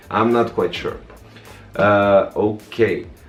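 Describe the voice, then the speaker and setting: Music plays in the background. A man talks in a fairly low voice. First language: non-English. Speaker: tech reviewer. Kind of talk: product review tutorial. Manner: casual, hesitant with many fillers.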